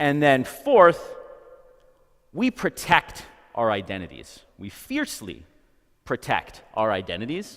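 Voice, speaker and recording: A fairly slow pace, big swings in loudness, and long, frequent pauses. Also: man. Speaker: psychology professor. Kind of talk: lecture. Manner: projects loudly.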